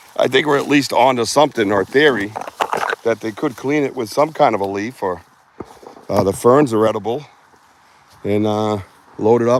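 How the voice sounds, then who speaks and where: Talking at a fairly quick pace in an American accent, a man shows ordinary pitch variation while noticeable background noise runs behind him. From Boston. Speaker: outdoor livestream host, Bigfoot researcher. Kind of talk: live outdoor vlog commentary. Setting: outdoors in the woods. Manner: casual, rambling, animated.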